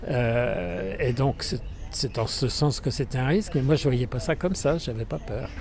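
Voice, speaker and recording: Over noticeable background noise, a man of medium pitch uses lively intonation at a fairly slow pace. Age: 80s. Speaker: elderly interviewee. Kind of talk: street interview. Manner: halting, many fillers.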